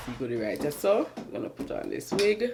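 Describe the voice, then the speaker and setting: A woman talks with very wide pitch swings. Noticeable background noise runs behind her. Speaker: beauty vlogger. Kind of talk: casual vlog tutorial.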